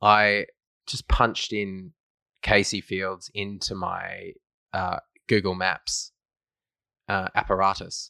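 On a very clean recording with a silent background, a man with an Australian accent talks at a very slow pace with long, frequent pauses. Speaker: football podcast host. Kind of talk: casual banter, sports podcast.

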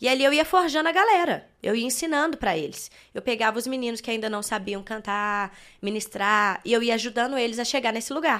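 A woman speaks at a fairly high pitch and a fairly quick pace, with lively intonation and a normal speaking voice. The recording is very clean, with a silent background. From Belo Horizonte, Minas Gerais, Brazil. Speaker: worship singer. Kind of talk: casual interview. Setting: studio.

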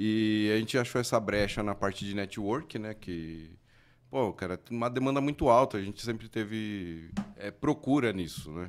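A man's fairly low voice at a moderate pace, an unremarkable speaking voice. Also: ordinary pitch variation. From Mauá, São Paulo, Brazil. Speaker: electronics repair technician. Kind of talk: casual chat.

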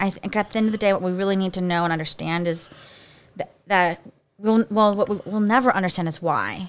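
A woman with a Philadelphia accent, medium pitch and ordinary pitch variation. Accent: Philadelphia-area American. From US, Pennsylvania (Bucks County, near Philadelphia). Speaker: podcast host. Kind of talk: casual chat.

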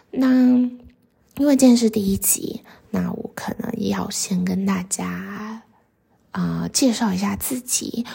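Very slowly, a woman speaks with long pauses that come often. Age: 20s. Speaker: podcast host. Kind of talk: casual monologue. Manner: hesitant, many fillers.

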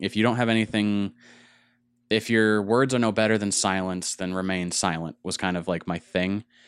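This man has an ordinary speaking voice with a fairly low pitch. He keeps a moderate pace and fairly even intonation. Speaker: podcast host. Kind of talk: casual chat. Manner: talkative, casual.

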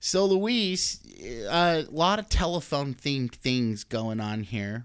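A man with a medium-pitched voice speaks in an animated tone, his pitch swinging very widely, on a very clean recording with a silent background. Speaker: podcast host. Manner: animated, friendly.

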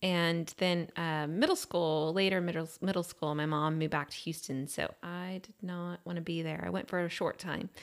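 This is a woman with an American accent and a normal speaking voice, pitched fairly low. She talks at a moderate pace with fairly even intonation and hardly any pauses. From Austin, Texas. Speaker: real estate agent and builder. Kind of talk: casual chat.

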